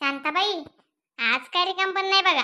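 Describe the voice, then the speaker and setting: A woman puts on a cartoonish character voice at a moderate pace. It is squeaky and extremely high in pitch. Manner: coy, bargaining.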